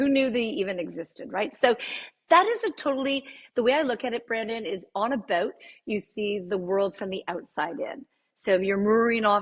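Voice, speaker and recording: A woman talks in an ordinary speaking voice with a Canadian accent. Her pitch is medium with ordinary pitch variation, and her pace is moderate. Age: 60s. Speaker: interior designer and architect. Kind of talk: interview.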